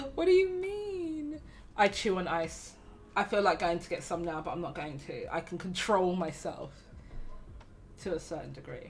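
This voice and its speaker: Lively intonation at a fairly slow pace, with music in the background. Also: woman. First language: not English. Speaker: livestream co-host. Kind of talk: casual chat. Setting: live stream.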